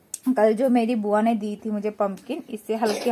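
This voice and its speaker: A woman talks at a fairly high pitch. Noticeable background noise is present. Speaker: village vlogger. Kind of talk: cooking vlog narration. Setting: home kitchen.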